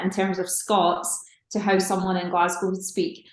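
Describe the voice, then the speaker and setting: At a moderate pace, a woman speaks with audible room echo. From Scotland. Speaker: singer-songwriter. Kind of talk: casual interview chat. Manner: casual, with fillers and false starts.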